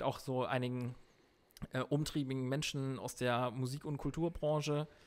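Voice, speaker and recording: A man's fairly high-pitched voice at a moderate pace, in a very clean recording with a silent background. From northern Germany, Emsland. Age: 30s. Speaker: guitarist. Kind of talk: casual chat.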